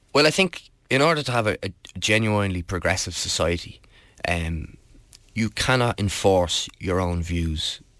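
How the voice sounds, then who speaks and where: A very deep, low male voice in a Dublin accent, with lively intonation at a moderate pace, on a very clean recording with a silent background. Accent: Dublin Irish. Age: 20s. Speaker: political candidate. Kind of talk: interview. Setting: studio. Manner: halting.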